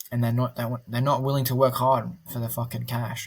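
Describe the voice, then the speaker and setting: A man speaks at a fairly quick pace in a somewhat breathy voice of medium pitch. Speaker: reseller and online content creator. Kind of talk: casual monologue to camera. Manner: fast; animated.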